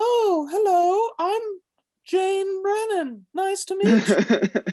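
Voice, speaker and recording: A put-on character voice pitched extremely high and squeaky. It moves at a very slow pace. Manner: mocking.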